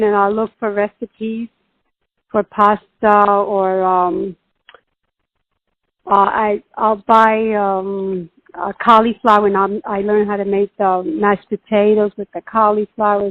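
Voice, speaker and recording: At a very slow pace, a woman speaks at a medium pitch in a monotone, flat intonation. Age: 60s. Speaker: patient sharing diet experience. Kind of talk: interview. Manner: halting.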